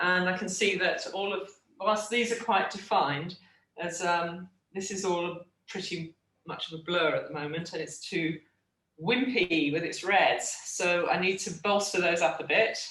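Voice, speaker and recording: Here a woman speaks in an English accent at a moderate pace. Her pitch is medium, with ordinary variation. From England. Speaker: art teacher. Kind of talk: tutorial. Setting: video call.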